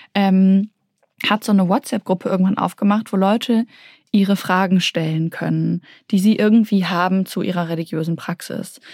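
A woman of medium pitch speaks with fairly even intonation, the sound dry and close with no echo. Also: moderate pace. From Berlin, Germany (Kreuzberg). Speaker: novelist. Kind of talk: interview. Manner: hesitant, many fillers.

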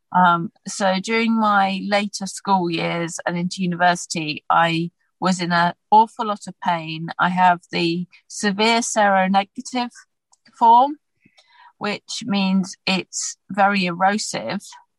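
A woman with a British accent and a medium pitch speaks at a very slow pace, somewhat breathy. Her pitch varies in an ordinary way, in a dry, close sound with no echo. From UK. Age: 40s. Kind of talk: interview.

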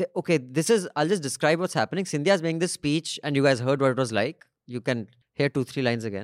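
A man talks at a very fast pace with lively intonation and a fairly high pitch. The recording is very clean, with a silent background and a dry, close sound with no echo. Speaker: podcast host and media founder. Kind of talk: casual panel discussion. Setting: studio.

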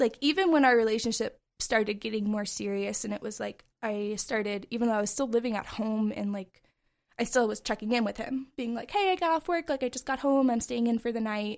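This is an ordinary speaking voice at a fairly quick pace, in a very clean recording with a silent background. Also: woman, fairly high pitch for a woman, ordinary pitch variation. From Montana, US (Bozeman). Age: 20s. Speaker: abuse survivor, barista. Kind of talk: personal testimony in interview.

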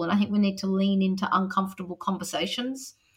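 Her bright, sharp tone sits at a medium pitch as a woman with an Australian accent speaks at a fairly quick pace. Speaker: teacher and author. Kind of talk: interview.

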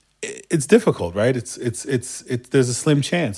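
In a very clean recording with a silent background, a man with a slight Turkish accent talks in an animated tone with lively intonation. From Turkey, Istanbul. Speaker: music producer and songwriter. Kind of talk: casual interview chat.

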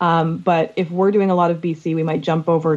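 In a Canadian accent, a woman speaks at a fairly low pitch in an unremarkable speaking voice. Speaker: podcast co-host. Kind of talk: casual interview chat.

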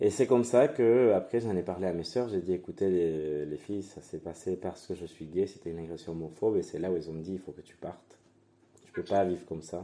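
In a Spanish accent, a man talks at a fairly quick pace with ordinary pitch variation and big swings in loudness. His voice is very deep and low, with a dark, mellow tone. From Venezuela (Guatire, near Caracas). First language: Spanish (speaking French). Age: 20s. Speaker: drag queen. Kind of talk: casual interview.

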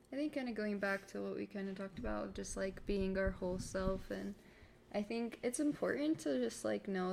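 An ordinary speaking voice at a moderate pace, in an American accent. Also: woman. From Florida, US. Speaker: newlywed guest. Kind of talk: casual chat.

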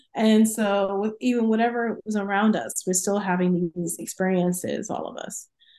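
Speaking at a moderate pace with hardly any pauses, a woman uses a dark, mellow tone at medium pitch and fairly even intonation. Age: 40s. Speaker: professor. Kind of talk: casual chat.

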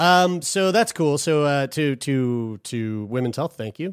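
Lively intonation carries a man's plain, everyday voice. The recording is very clean, with a silent background. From Newfoundland, Canada. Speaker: podcast co-host. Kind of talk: casual chat.

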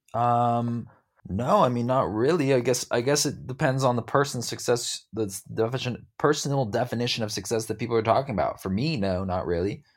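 A man talks in a plain, everyday voice at medium pitch. His pitch varies in an ordinary way, and his pace is fairly quick. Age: 20s. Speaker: musician and former crypto influencer. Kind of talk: interview. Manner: casual, filler-heavy.

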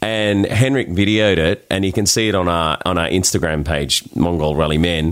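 A man with an Australian accent, against noticeable background noise. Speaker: charity rally driver. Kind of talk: casual interview chat.

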